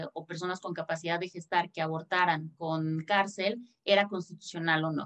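A woman speaks in an unremarkable speaking voice at a medium pitch, with fairly even intonation and a moderate pace. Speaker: lawyer. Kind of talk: panel discussion.

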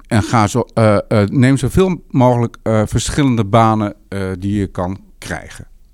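Very slowly, a man speaks at a medium pitch with ordinary pitch variation. The recording is very clean, with a silent background. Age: 50s. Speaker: urban planner. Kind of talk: interview. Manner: halting.

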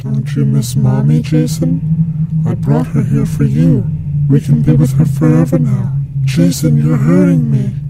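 Over loud background noise, a put-on character voice speaks at a moderate pace. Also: man. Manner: wailing, creepy.

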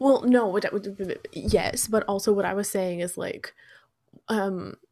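In a very clean recording with a silent background, a woman speaks at a medium pitch in an unremarkable speaking voice. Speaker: podcast co-host. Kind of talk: casual chat.

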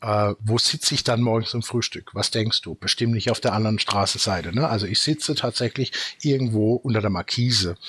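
The man has a normal speaking voice at a medium pitch, talking at a fairly quick pace in a dry, close sound with no echo. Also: ordinary pitch variation. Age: 50s. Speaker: company founder. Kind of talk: casual chat.

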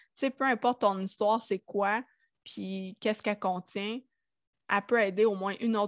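A woman's fairly high voice in a Quebec accent, with a dry, close sound and no echo. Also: very clean recording, silent background. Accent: Quebecois French. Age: 30s. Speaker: audio designer. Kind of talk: casual interview. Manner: speaks without filter.

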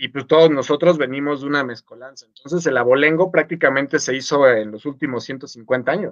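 Talking at a fairly quick pace, a man with a fairly high pitch shows big swings in loudness. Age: 30s. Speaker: podcast co-host. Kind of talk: casual chat. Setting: live stream. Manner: animated.

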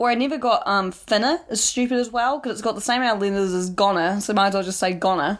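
A woman with a New Zealand accent talks at a very fast pace with hardly any pauses, on a very clean recording with a silent background. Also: medium pitch for a woman, ordinary pitch variation. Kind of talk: casual chat. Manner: casual, swears a lot, laughs often.

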